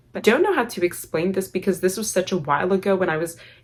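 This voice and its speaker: A woman speaks with an Armenian accent. Her pitch is medium. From Armenian family, grew up in the US. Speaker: YouTuber. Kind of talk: storytime vlog. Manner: casual, filler-heavy.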